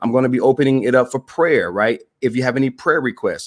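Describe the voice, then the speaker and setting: A man talks at a very fast pace in an animated tone. His pitch sits in the medium range. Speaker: motivational broadcaster. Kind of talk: live stream talk. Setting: Facebook live video.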